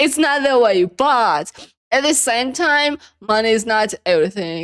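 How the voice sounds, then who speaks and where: A woman with a non-native accent, fairly slow pace, very wide pitch swings, an animated tone and very even loudness. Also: fairly high pitch for a woman. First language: not English. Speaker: reaction video creator. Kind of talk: casual reaction commentary.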